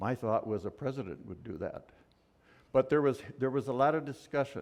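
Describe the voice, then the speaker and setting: A man's medium-pitched voice with vocal fry. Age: 70s. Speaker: church leader and speaker. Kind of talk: sermon. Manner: loud.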